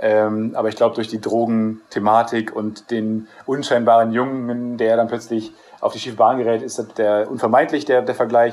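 A man speaks in a monotone, flat intonation with hardly any pauses. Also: medium pitch for a man, moderate pace. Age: 20s. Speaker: TV series screenwriter. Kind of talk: interview. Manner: halting, many filler sounds.

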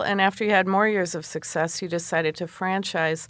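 Heard on a very clean recording with a silent background, a woman uses a normal speaking voice at a medium pitch and a moderate pace. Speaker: co-host of entrepreneurship segment. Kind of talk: interview.

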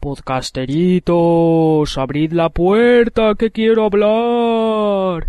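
In a put-on character voice at a middle pitch, someone shouts at a very slow pace with hardly any pauses. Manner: shouting, demanding.

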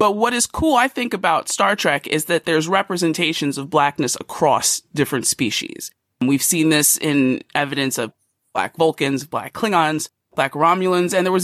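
With an American accent, a woman speaks at a moderate pace in a very deep, low voice full of very wide pitch swings, on a very clean recording with a silent background and a dry, close sound with no echo. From US Northeast (Philadelphia). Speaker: podcast co-host. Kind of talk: casual chat. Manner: animated.

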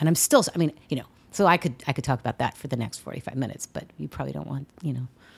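A woman speaks very fast with an American accent and vocal fry. Her pitch is very deep and low, with ordinary pitch variation. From US West Coast, San Diego. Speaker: playwright. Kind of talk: interview.

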